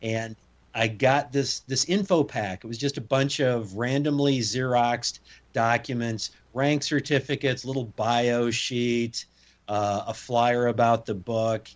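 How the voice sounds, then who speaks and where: A man's plain, everyday voice, medium in pitch, fairly slow, with fairly even intonation. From US Midwest. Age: 50s. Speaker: former SWAT commander and strongman. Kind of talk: interview conversation.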